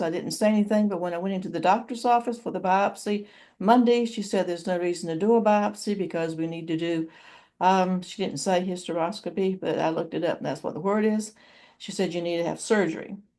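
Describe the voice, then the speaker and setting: Against a quiet background, a woman speaks at a very fast pace. Her tone is dark and mellow, with ordinary pitch variation. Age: 70s. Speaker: YouTuber. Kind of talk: personal vlog. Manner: halting.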